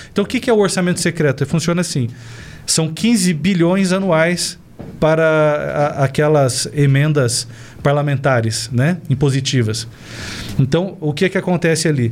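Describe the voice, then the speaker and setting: Over noticeable background noise, a man talks at a fairly high pitch and a fairly slow pace. His loudness stays very even, with ordinary pitch variation. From Brazil, Paraná (Cascavel). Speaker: political commentator, former sales representative. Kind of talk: political talk show discussion. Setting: studio, live stream.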